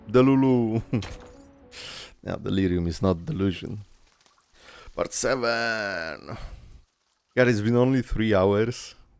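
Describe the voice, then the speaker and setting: Music plays in the background as a man speaks at a very slow pace and medium pitch, with ordinary pitch variation and long, frequent pauses. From Poland. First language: Polish. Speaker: vtuber streamer. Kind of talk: live game stream reading dialogue aloud.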